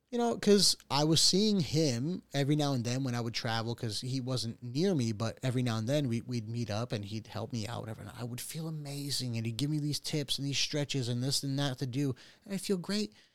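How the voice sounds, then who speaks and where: A normal speaking voice from a man at medium pitch, fairly quick with hardly any pauses, ordinary pitch variation, and a very clean recording with a silent background. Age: 30s. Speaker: podcast host. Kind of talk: casual chat.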